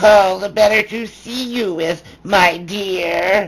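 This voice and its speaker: Delivered very slowly, a put-on character voice sits at a middle pitch. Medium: read story. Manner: sly.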